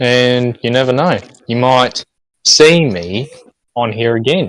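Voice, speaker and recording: This man speaks with ordinary pitch variation. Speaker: online roleplay wrestler. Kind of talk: podcast interview. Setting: online stream. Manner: halting.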